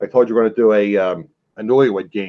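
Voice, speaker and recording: A man speaks with a Philadelphia accent. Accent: Philadelphia accent, often taken for New York. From Philadelphia area, US Northeast. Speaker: reselling show host. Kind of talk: casual live-stream chat. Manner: fast.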